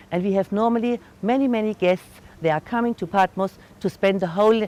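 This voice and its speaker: In a German accent, a woman speaks at a fairly quick pace with lively intonation and a medium pitch. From Germany. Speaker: tour guide. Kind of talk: guided tour talk. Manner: halting.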